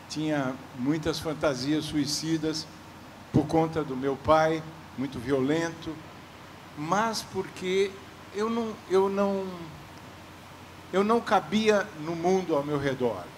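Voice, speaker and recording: This man speaks very slowly with long, frequent pauses. His pitch is fairly high. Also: ordinary pitch variation. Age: 80s+. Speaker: writer. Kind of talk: literary panel talk.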